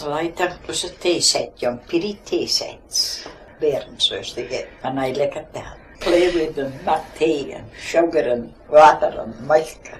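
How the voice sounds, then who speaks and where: Speech at a fairly slow pace shows big swings in loudness against noticeable background noise. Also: woman. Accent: Shetland. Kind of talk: oral history interview answer.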